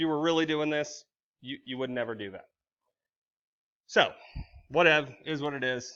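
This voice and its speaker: Over a quiet background, a man's voice has a bright, sharp tone and ordinary pitch variation. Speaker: high school statistics teacher. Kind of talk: recorded lecture. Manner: fast; casual, informal.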